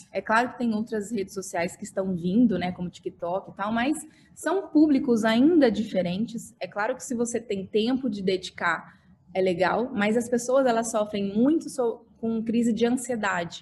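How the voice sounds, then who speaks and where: A woman with a fairly high voice speaks at a moderate pace. Her pitch variation is ordinary, and background noise is noticeable. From Brazil, Mato Grosso do Sul (Dourados). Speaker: architect and social media influencer. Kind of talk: podcast interview. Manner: animated.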